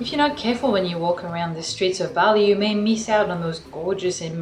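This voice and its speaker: A woman talks at a fairly quick pace with hardly any pauses. Her voice sits at a medium pitch with ordinary variation, and noticeable background noise runs underneath. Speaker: artist and vlogger. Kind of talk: travel vlog. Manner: soft-spoken.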